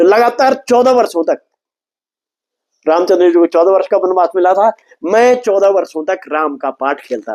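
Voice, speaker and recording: A man with a high pitch speaks with lively intonation. The recording is dry and close, with no echo. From Garhwal, Uttarakhand (Kedar valley, near Guptkashi). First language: Garhwali (speaking Hindi). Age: 60s. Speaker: folk culture artist and playwright. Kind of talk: interview. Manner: mix of Hindi and Garhwali.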